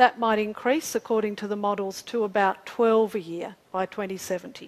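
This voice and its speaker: A woman with an Australian accent, fairly high pitch, fairly even intonation and a moderate pace. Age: 40s. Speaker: climate scientist presenter. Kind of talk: public talk with slides. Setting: community forum with audience.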